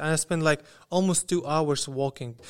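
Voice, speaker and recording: A man with a Russian accent and a fairly high pitch talks at a fairly quick pace with ordinary pitch variation, in a very clean recording with a silent background. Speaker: student. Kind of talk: casual interview storytelling.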